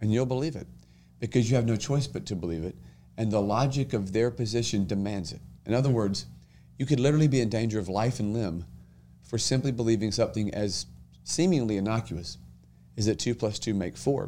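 Over a silent background in a very clean recording, a man with an American accent talks at a very fast pace in a medium-pitched, dark, mellow voice with ordinary pitch variation and long, frequent pauses. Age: 30s. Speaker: state senator. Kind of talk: casual chat.

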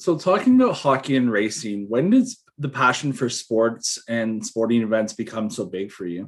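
In a Canadian accent, a man with an ordinary speaking voice talks at a moderate pace with hardly any pauses, medium pitch, and ordinary pitch variation. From Toronto, Canada. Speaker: podcast host. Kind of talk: casual interview.

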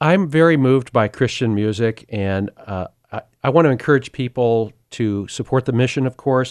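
In a plain, everyday voice, a man with an American accent speaks at a moderate pace and medium pitch with ordinary pitch variation, on a very clean recording with a silent background and a dry, close sound with no echo. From US West, Sacramento, California. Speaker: agricultural communicator and charity board member. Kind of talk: testimony.

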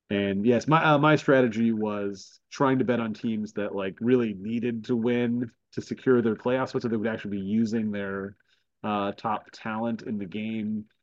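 He has a plain, everyday voice, medium in pitch, delivered at a moderate pace with fairly even intonation. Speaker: podcast host. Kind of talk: casual sports chat.

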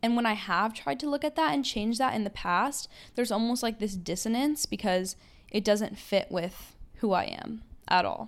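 Her voice has a fairly high pitch, an animated tone and lively intonation at a moderate pace. The woman is recorded very cleanly against a silent background. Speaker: podcast host, college student. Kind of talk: casual solo monologue. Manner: loud.

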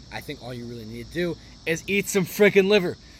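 A man talks at a very fast pace with very wide pitch swings. His voice is somewhat breathy. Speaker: podcast host. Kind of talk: casual monologue.

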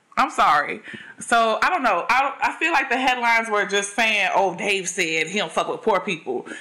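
A woman with an American accent, fairly high in pitch with very wide pitch swings, at a moderate pace over noticeable background noise. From Chicago. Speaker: stand-up comedian. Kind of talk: casual chat.

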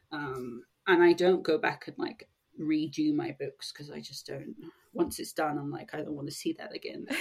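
A woman with a southern English accent speaks at a moderate pace, her loudness swinging widely. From England, Sussex. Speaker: romance author. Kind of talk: interview.

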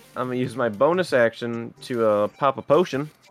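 Over music in the background, a man talks at a moderate pace. The sound is dry and close, with no echo. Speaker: tabletop roleplaying game player. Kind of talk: casual, profane.

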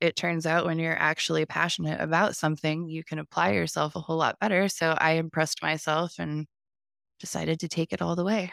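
A woman with a very deep, low pitch speaks at a fairly quick pace with fairly even intonation. The recording is very clean and dry, close-sounding with no echo and a silent background. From US Midwest, small-town Ohio. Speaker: tattoo artist. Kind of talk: interview, personal story.

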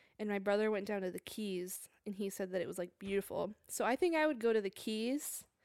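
With an American accent and an unremarkable speaking voice, a woman talks at a medium pitch with ordinary pitch variation and hardly any pauses, in a dry, close sound with no echo on a very clean recording with a silent background. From New Jersey. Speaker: podcast co-host, photographer. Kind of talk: casual chat.

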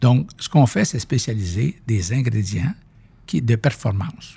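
Somewhat breathy, the voice moves at a very slow pace with lively intonation. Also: man. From Quebec, near Saint-Hyacinthe. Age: 60s. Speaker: company founder and president. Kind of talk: interview conversation.

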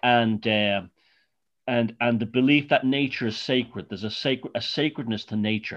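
Against a quiet background, a man with an Irish accent speaks at medium pitch with fairly even intonation. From Ireland. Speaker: author. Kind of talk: casual interview.

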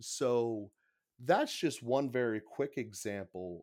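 With an American accent and ordinary pitch variation, a man speaks in a very clean recording with a silent background. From Pittsburgh, Pennsylvania. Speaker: podcaster and small business owner. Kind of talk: casual chat about scripture. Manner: halting, repeats words.

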